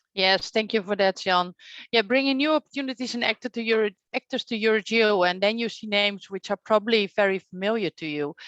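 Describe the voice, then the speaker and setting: Speaking very fast in a Dutch accent, a woman has a fairly high pitch and ordinary pitch variation. The sound is dry and close with no echo, over a quiet background. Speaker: session moderator. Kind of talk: moderated online workshop.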